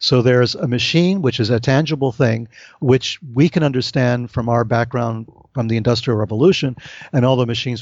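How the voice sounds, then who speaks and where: A man speaks at a fairly quick pace in a plain, everyday voice, medium in pitch with ordinary pitch variation. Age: 60s. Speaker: author, UFO researcher. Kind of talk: interview conversation.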